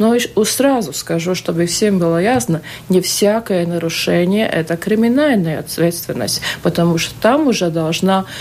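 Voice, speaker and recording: Speaking at a fairly slow pace and medium pitch, a woman is heard over noticeable background noise. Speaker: state auditor general. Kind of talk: live radio interview. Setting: radio studio. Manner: hesitant, many fillers.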